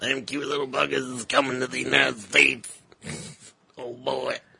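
Putting on a raspy character voice, a man speaks at a moderate pace and medium pitch. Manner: slow, folksy.

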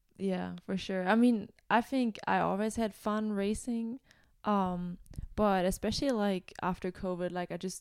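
In a very clean recording with a silent background, a woman speaks with a German accent. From Germany. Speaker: college student and gravel cyclist. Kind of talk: casual interview.

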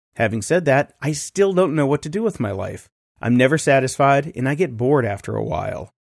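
A man speaks in an unremarkable speaking voice at a fairly high pitch. His intonation is lively, and the recording is very clean with a silent background. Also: fairly quick pace. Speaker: podcast producer. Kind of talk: reading aloud listener letters.

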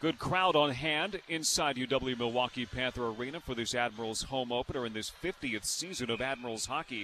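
A man with an unremarkable speaking voice talks at a fairly quick pace with hardly any pauses. His pitch is medium, with ordinary pitch variation. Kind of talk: live radio play-by-play hockey commentary, with sponsor reads dropped in between plays.

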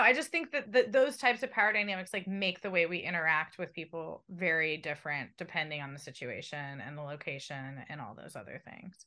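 A woman talks at a fairly quick pace with hardly any pauses, her bright, sharp tone moving through very wide pitch swings and big swings in loudness. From San Diego, California. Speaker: journalist, radio co-host. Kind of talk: interview conversation. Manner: chatty.

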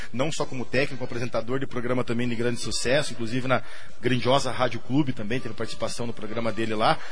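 A man at medium pitch, very fast and monotone, with audible room echo and noticeable background noise. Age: 30s. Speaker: city councillor. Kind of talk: radio interview.

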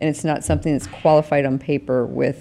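With vocal fry, a woman speaks at a very deep, low pitch. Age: 60s. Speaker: podcast co-host and life coach. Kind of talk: casual chat.

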